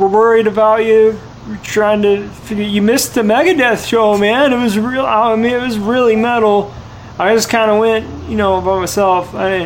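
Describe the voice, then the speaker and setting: A man's high-pitched, put-on character voice, mumbling at a fairly slow pace with fairly even intonation over clear background noise. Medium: game stream. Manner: mumbling, slack, says 'man' constantly.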